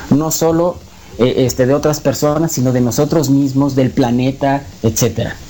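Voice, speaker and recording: Noticeable background noise behind a man with a fairly high pitch, a moderate pace, very even loudness and fairly even intonation. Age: 30s. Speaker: conspiracy talk guest. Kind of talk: radio interview. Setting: radio broadcast.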